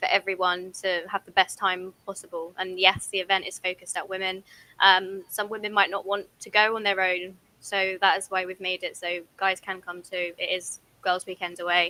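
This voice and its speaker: A woman's medium-pitched voice, bright and sharp in tone, flat and monotone in intonation, with big swings in loudness at a moderate pace. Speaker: airsoft event organizer. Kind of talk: casual chat.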